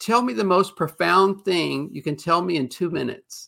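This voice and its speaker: Over a silent background in a very clean recording, a man speaks fairly slowly in a high pitch with a bright, sharp tone. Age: 60s. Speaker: writer and PR executive. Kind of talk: casual interview.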